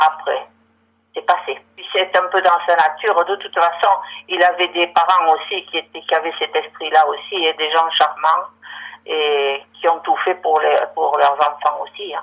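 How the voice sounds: A woman with low pitch, vocal fry and a slightly husky edge, at a moderate pace with fairly even intonation.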